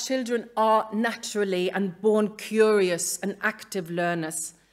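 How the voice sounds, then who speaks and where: A woman speaks very slowly with a Norwegian accent. Her pitch is fairly high. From Norway. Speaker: museum educator. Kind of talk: conference talk read from script. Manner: halting.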